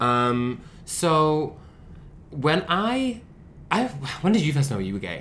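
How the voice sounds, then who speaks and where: A man with a Manchester accent speaks at a very slow pace, leaving long, frequent pauses. His fairly high pitch swings very widely over noticeable background noise. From Manchester, England. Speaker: podcast co-host. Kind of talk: casual chat. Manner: animated.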